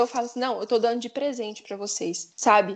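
A woman with a high pitch speaks at a fairly quick pace. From Minas Gerais, Brazil. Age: 20s. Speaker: graphic designer. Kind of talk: casual panel discussion.

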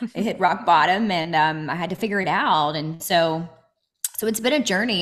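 Fairly low in pitch for a woman, this is a plain, everyday voice with ordinary pitch variation. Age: 30s. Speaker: inspirational speaker and coach. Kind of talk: interview. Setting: remote call.

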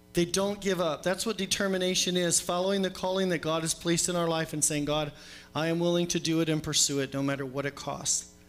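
Backed by music, a man speaks very fast at a high pitch with very even loudness and fairly even intonation. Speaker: preacher. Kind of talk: sermon. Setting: church.

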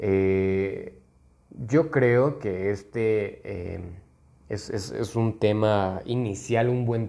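This man's voice sits fairly low, with a dark, mellow tone and ordinary pitch variation. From Mexico, Guanajuato. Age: 20s. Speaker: podcast host, lawyer. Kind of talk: casual monologue. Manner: hesitant, many fillers.

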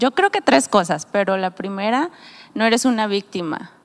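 A woman is speaking. Her intonation is lively. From Mexico, Nayarit. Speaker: pastor. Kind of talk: casual chat.

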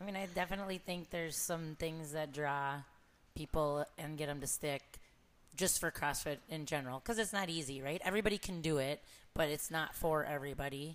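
Very clean recording, silent background, and a woman's very deep, low voice with ordinary pitch variation at a fairly quick pace. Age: 40s. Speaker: podcast host and fitness coach. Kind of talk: casual interview. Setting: in-person recording.

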